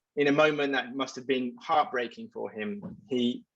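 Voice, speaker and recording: A man speaks with an English accent at a moderate pace. His pitch sits at a medium level. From England. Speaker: advertising executive. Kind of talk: panel discussion.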